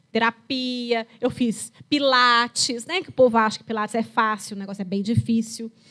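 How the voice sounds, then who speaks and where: Speaking at a moderate pace, a woman uses an ordinary speaking voice at a fairly high pitch. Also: hardly any pauses. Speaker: geriatrician. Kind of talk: lecture. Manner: conversational, storytelling.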